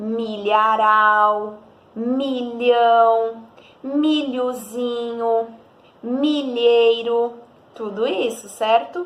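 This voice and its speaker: A woman's fairly high voice, with ordinary pitch variation, is heard with audible room echo. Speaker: primary school teacher. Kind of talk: recorded lesson for children.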